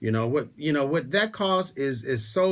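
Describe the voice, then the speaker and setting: In a very clean recording with a silent background, a man talks at a fairly high pitch with lively intonation. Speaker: radio host and insurance agent. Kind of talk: radio talk show. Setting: radio studio. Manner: fast.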